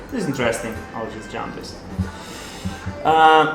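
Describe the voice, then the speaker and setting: A man with a non-native accent, music playing in the background. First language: not English. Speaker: poker streamer and coach. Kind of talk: live stream commentary while playing poker. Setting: live stream. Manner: casual, halting.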